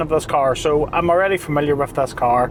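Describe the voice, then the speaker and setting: Noticeable background noise runs through the clip. The words come at a fairly quick pace. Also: man. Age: 40s. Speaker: car reviewer. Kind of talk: product review; video outro. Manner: casual.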